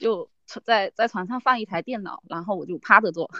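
Here a woman talks at a medium pitch. Her pace is moderate and her pitch variation ordinary. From Fujian, China. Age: 30s. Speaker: rare disease patient and online editor. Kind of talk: interview testimony. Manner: halting, many fillers.

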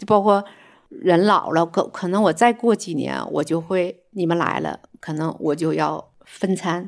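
Recorded very cleanly against a silent background, a woman speaks with vocal fry and ordinary pitch variation. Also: fairly low pitch for a woman, fairly slow pace. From northeast China. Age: 60s. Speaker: retired accountant. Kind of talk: casual chat.

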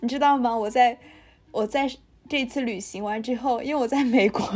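A woman with a normal speaking voice and a fairly high pitch talks at a moderate pace, her pitch varying in an ordinary way. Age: 20s. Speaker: podcast co-host. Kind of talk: casual chat.

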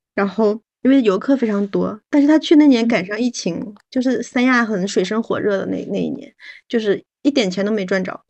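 Fairly quick and fairly high-pitched, a woman speaks in a normal speaking voice. Her pitch variation is ordinary. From Northeast China. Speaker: podcast guest. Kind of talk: casual chat.

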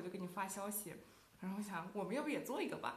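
A woman talking very fast in an animated tone, with audible room echo and noticeable background noise. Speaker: student podcast co-host. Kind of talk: casual chat.

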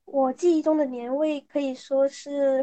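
This woman's voice sits high in pitch. The intonation stays monotone and flat. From southern China (Guangxi). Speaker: podcast guest. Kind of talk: casual chat.

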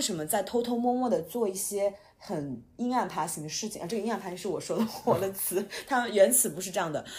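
A woman at a medium pitch, her voice making very wide pitch swings at a fairly quick pace. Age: 30s. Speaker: podcast host and writer. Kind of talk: casual chat.

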